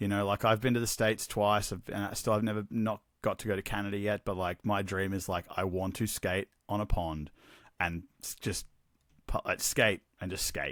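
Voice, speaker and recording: With an Australian accent, a man of fairly low pitch speaks at a moderate pace in a dry, close sound with no echo on a very clean recording with a silent background. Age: 40s. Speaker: hockey gear business owner. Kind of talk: casual chat. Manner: animated.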